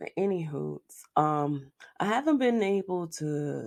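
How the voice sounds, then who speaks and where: A woman with a very deep, low pitch speaks with ordinary pitch variation. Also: quiet background. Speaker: video blogger. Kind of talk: casual commentary monologue.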